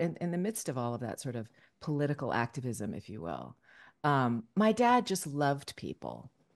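Very wide pitch swings at a moderate pace, with an American accent, against a quiet background. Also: woman. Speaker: voice actress. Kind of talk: casual chat. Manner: halting; frequent laughter.

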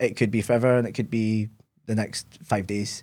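Here a man with a Scottish accent talks at a fairly quick pace in a dark, mellow tone. The recording is very clean, with a silent background. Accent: Scottish (Ayrshire). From Scotland, Ayr. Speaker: content creator. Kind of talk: casual interview.

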